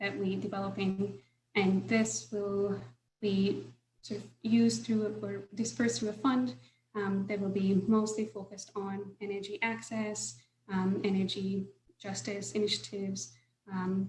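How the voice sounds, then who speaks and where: The speaker talks at a fairly slow pace with lively intonation. The voice is somewhat breathy. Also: woman, medium pitch for a woman. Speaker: solar finance professional. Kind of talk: webinar presentation.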